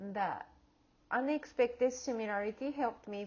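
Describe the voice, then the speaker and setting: A woman speaks with a non-native accent at a fairly slow pace. Her pitch varies in an ordinary way. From outside the US. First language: not English. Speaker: graduate student and educator. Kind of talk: class project presentation. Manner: halting, with fillers and restarts.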